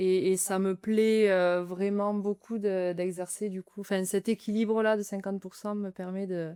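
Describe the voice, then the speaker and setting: In a dry, close sound with no echo, a woman with a dark, mellow tone speaks at a medium pitch in a monotone, flat intonation, fairly slow and with hardly any pauses. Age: 30s. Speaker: nurse, charity sports challenger. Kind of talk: interview conversation. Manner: hesitant, many fillers.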